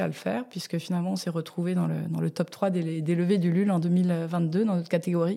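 The woman's voice is fairly low. Her recording is very clean, and the background is silent. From Tokyo, London and France. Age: 40s. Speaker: food entrepreneur. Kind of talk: interview. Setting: office space in Paris.

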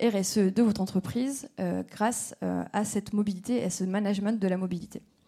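The voice is somewhat breathy and dark, mellow in tone, moving at a moderate pace with fairly even intonation. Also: woman. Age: 30s. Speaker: startup representative. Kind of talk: startup pitch.

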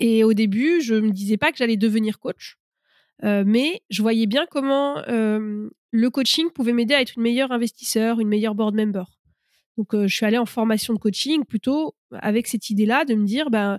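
With a very clean recording and silent background, a woman speaks in a plain, everyday voice, fairly high in pitch, at a moderate pace with ordinary pitch variation, very even loudness, and a dry, close sound with no echo. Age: 30s. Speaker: startup coach, former venture capitalist. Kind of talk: interview.

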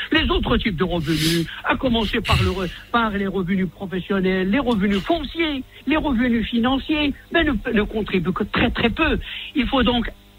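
A man speaks at a fairly slow pace with a high pitch, very wide pitch swings and very even loudness over noticeable background noise. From Morocco. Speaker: economist. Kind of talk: radio interview.

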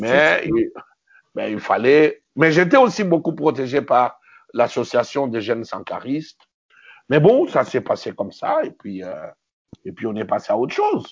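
A man's voice at a fairly slow pace, with long, frequent pauses and big swings in loudness. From DR Congo, Kinshasa. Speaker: film director. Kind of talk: interview. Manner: halting, frequent repetitions.

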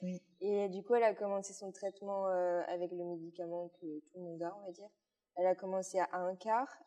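A woman's medium-pitched, dark, mellow voice at a moderate pace, monotone and flat in intonation, with big swings in loudness. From Belgium, Luxembourg province (born in Liège). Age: 19. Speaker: equine masseuse, rider and influencer. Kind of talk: casual interview.

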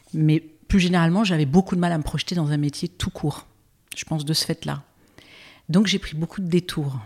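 A woman with fairly low pitch speaks somewhat breathily at a fairly quick pace, with long, frequent pauses and fairly even intonation, in a very clean recording that has a silent background and a dry, close sound with no echo. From Brittany, France. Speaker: impact investor. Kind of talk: interview conversation.

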